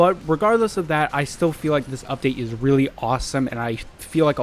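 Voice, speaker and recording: Music plays in the background as a man rattles off his words very fast. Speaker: gaming youtuber. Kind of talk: gameplay commentary. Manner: loud; animated.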